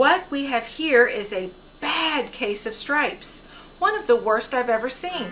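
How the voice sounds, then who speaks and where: Over clear background noise, a woman uses a put-on character voice pitched high with very wide pitch swings. She keeps a moderate pace. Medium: read story. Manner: gentle, warm.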